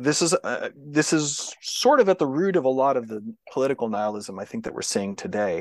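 Speaking fairly quickly with an American accent, a man uses a fairly high pitch and very wide pitch swings. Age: 40s. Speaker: sociologist. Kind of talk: interview.

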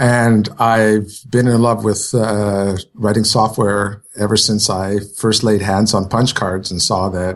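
At a fairly slow pace, a man speaks with fairly even intonation and a fairly low pitch. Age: 50s. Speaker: podcast guest, programmer and author.

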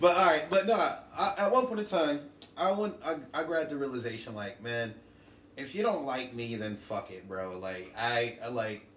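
Fairly high-pitched male voice with an American accent, very wide pitch swings and big swings in loudness, amid noticeable background noise and audible room echo. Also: moderate pace. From New Jersey. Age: 30s. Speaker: rapper. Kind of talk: casual chat.

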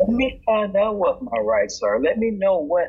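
Against music in the background, a man with an American accent talks at a moderate pace. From Indiana. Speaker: criminal defense lawyer. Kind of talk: casual interview chat.

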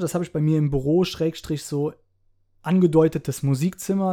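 A man with a fairly high pitch and a dark, mellow tone talks at a fairly quick pace. The recording is very clean, with a silent background. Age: 30s. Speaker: rapper. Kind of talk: casual interview.

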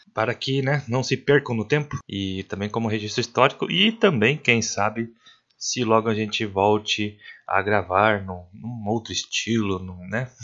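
A man with a normal speaking voice, ordinary pitch variation, and a fairly slow pace. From Paraná, Brazil. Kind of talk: podcast intro.

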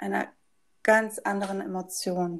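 An ordinary speaking voice with ordinary pitch variation in a very clean recording with a silent background. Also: woman. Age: 30s. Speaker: yoga teacher and essential oil consultant. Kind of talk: casual interview.

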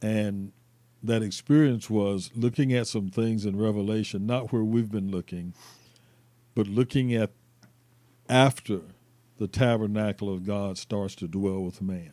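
With an American accent, a man speaks at a fairly slow pace with long, frequent pauses, his fairly low voice dark and mellow and his intonation fairly even. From Florida, US South. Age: 60s. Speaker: retired college basketball coach, ministry leader. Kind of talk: casual chat.

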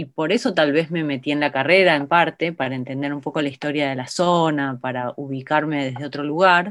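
This woman's pitch sits very deep and low, with ordinary variation, and the recording is very clean with a silent background. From Buenos Aires province, Argentina. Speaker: documentary filmmaker. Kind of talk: interview.

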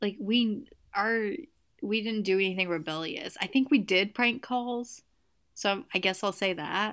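A woman with a Southern US accent talks at a fairly slow pace in a medium pitch. The recording is very clean, with a silent background. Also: ordinary pitch variation. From Tennessee. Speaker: podcast co-host. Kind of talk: casual chat.

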